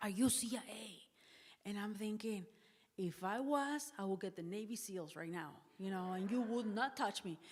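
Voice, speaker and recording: This woman has a Spanish accent and a medium pitch. She talks at a moderate pace with ordinary pitch variation. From northern Mexico. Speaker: missionary. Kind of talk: public talk.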